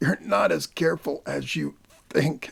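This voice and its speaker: A man does a raspy, put-on character voice at a moderate pace. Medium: read story. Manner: halting, gasping.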